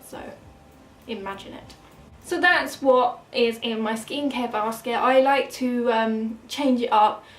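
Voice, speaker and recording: With an English accent, a woman talks in a high pitch and ordinary pitch variation. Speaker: beauty vlogger. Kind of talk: casual product review. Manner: fast.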